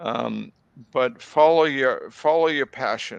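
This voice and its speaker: A man speaks with a slight Boston accent. His pace is fairly slow. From Boston area, US. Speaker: tobacco control researcher. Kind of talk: interview.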